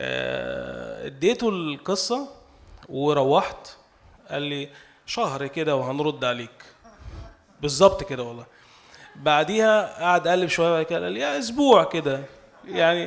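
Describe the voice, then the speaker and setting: A very slow delivery in an Egyptian accent, with long, frequent pauses and very wide pitch swings. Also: man, big swings in loudness. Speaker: novelist. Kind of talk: speech at cultural salon. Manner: halting.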